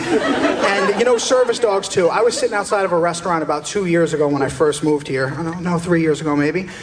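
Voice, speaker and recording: Against crowd noise in the background and audible room echo, a man with an American accent speaks at a fairly quick pace in a high pitch. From US East Coast. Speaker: stand-up comedian. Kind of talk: stand-up. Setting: stage with audience.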